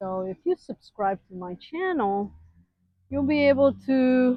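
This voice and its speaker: A woman with a Western European accent speaks very slowly in a high voice with lively intonation. The sound is dry and close, with no echo. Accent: foreign accent, Western European. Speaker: homeowner vlogger giving neighborhood tour. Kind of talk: casual walking tour vlog.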